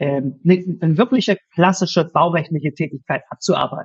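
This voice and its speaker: Speaking at a moderate pace, this man has a high pitch. His pitch variation is ordinary. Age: 40s. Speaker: lawyer, furniture dealer and content creator. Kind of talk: interview conversation.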